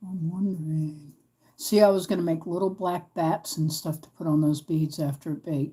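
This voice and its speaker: A woman speaks in an American accent at a moderate pace, her pitch fairly low with ordinary variation. Her tone is dark and mellow, and somewhat breathy. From US, East Coast Virginia. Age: 50s. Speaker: craft livestreamer. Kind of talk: live craft stream chat. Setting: livestream from home. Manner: casual, chatty. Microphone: new laptop, audio trouble.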